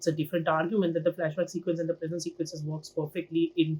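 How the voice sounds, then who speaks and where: A man speaks at a very fast pace in a high voice. His tone is dark and mellow. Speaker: film and TV critic. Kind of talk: casual video review monologue. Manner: animated.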